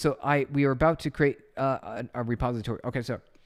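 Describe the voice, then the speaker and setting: Talking at a moderate pace with ordinary pitch variation, a man with an unremarkable speaking voice is heard on a very clean recording against a silent background. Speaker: programming live streamer. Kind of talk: live coding stream.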